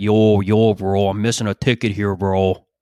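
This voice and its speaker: This is a put-on character voice delivered at a moderate pace. Its intonation stays monotone and flat against a quiet background. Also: man, fairly low pitch for a man. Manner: barking, aggressive.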